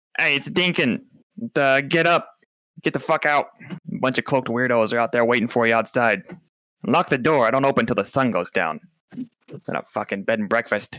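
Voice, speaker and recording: A man puts on a gruff character voice at a medium pitch. He talks at a fairly quick pace, broken by long, frequent pauses. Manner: irritated, brusque.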